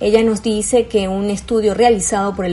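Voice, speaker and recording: A woman speaks over noticeable background noise. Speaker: news presenter. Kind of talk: news reading. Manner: serious.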